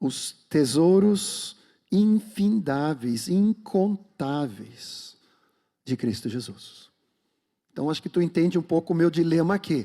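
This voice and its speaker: A man's very slow speech in a Swedish accent, high-pitched with lively intonation and a dark, mellow tone, on a very clean recording with a silent background. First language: Swedish (speaking Portuguese). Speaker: pastor. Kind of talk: sermon; prayer.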